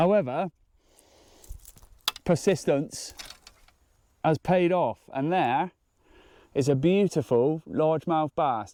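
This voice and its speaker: Speaking at a very slow pace with lively intonation, a man with a British accent has a fairly high pitch and a dark, mellow tone. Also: very clean recording, silent background. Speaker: fishing vlogger. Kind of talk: outdoor vlog commentary. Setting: outdoors by a lake. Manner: quiet.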